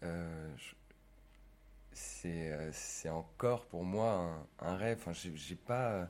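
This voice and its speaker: A man with a very deep, low pitch speaks at a very slow pace, swinging his pitch very widely and leaving long, frequent pauses. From Savoie, France. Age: 20s. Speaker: actor. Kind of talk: casual interview. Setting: bar. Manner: halting.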